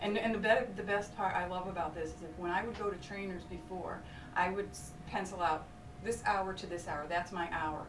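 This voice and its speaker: Over noticeable background noise and audible room echo, a woman with a medium pitch talks at a fairly quick pace with fairly even intonation. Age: 50s. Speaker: fitness client giving testimonial. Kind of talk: testimonial chat.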